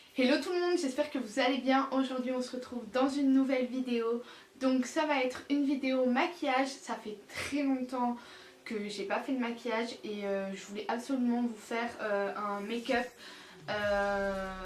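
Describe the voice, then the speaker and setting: A woman speaks in a high pitch with ordinary pitch variation. Her moderate pace is heard through audible room echo. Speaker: beauty vlogger. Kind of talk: tutorial. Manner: casual, many filler euh.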